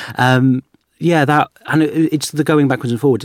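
A man with an English accent is heard in a very clean recording with a silent background. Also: dry, close sound with no echo. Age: 20s. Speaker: radio producer and podcaster. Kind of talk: casual chat. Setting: studio.

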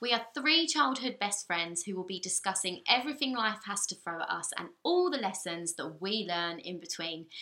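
Over noticeable background noise, a woman talks at a moderate pace with medium pitch and lively intonation. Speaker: podcast co-host. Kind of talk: casual chat.

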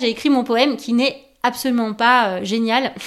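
In a high voice, a woman talks fairly slowly. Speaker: YouTuber. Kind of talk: personal testimony. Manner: hesitant with fillers.

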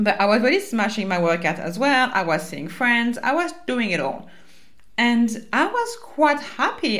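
A woman's high voice in a French accent, with very wide pitch swings and noticeable background noise. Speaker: life coach and podcast host. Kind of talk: solo podcast monologue, personal and casual. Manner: casual, chatty, swears occasionally.

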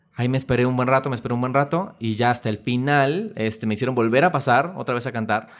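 Very fast speech comes from a man at medium pitch with ordinary pitch variation. The recording is very clean, with a silent background. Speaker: musical theatre actor. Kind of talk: casual chat.

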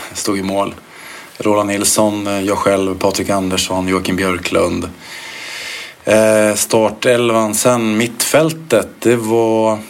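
A man with a fairly low voice speaks very slowly and with fairly even intonation, and the recording has audible room echo and noticeable background noise. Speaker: former footballer. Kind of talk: interview. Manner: halting.

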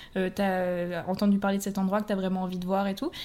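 Speaking at a fairly quick pace, a woman with a medium pitch has a plain, everyday voice. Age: 20s. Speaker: language teacher. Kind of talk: casual chat.

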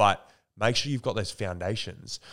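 Recorded very cleanly over a silent background, a man with an Australian accent moves at a fairly quick pace with ordinary pitch variation. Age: 20s. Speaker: actor and entrepreneur. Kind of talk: casual chat. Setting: at his home.

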